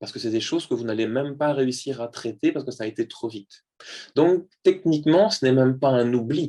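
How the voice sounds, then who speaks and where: Here a man talks in a dark, mellow tone. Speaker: neuropsychologist giving a talk. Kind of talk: lecture. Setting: video call. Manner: fast.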